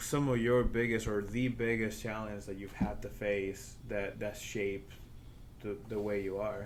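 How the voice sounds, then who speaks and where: The speech comes at a fairly slow pace with monotone, flat intonation. Audible room echo surrounds it. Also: man, fairly low pitch for a man. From Spain. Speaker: podcast host. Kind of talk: casual interview chat.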